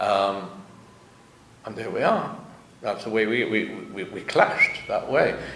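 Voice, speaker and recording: A man at a moderate pace, with noticeable background noise and audible room echo. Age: 70s. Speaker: author. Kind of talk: interview.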